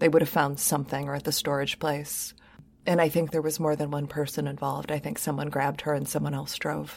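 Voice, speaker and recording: A woman's very deep, low voice with vocal fry and an American accent, calm in tone, monotone and flat, at a fairly quick pace, on a very clean recording with a silent background. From Michigan. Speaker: podcast host. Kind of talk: casual chat.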